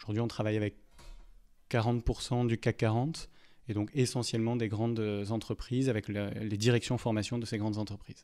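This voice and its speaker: A man with a dark, mellow tone talks at a fairly quick pace in a monotone, flat intonation. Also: medium pitch for a man. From southern France, Montpellier. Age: 30s. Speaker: HR director and e-learning expert. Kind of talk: podcast interview. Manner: hesitant, many filler sounds.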